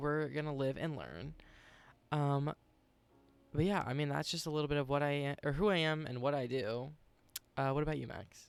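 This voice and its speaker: Moderate pace with long, frequent pauses and fairly even intonation over music in the background. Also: man, fairly high pitch for a man. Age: 20s. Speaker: podcast co-host and streamer. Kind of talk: casual chat.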